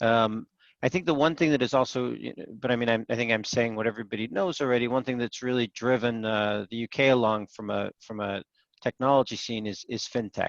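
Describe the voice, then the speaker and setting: A man with an American accent talks at a fairly quick pace in a medium pitch with ordinary pitch variation. The sound is dry and close with no echo, over a quiet background. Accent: American accent despite UK birth. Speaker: investor and startup panel judge. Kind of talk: panel discussion. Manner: hesitant, many filler words.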